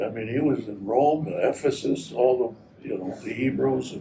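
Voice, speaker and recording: Amid noticeable background noise, a man speaks with an American accent. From Wisconsin, US Midwest. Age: 80s+. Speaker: navy veteran interviewed about his life. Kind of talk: oral history interview. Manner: halting.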